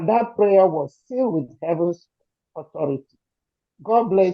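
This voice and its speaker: In a Nigerian accent, a woman speaks fairly slowly at medium pitch. Her intonation is lively, with big swings in loudness. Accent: Nigerian Igbo English. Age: 70s. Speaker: community supporter speaking at rally. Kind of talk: emotional testimony. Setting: gathering with crowd, also on Zoom. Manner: shaky.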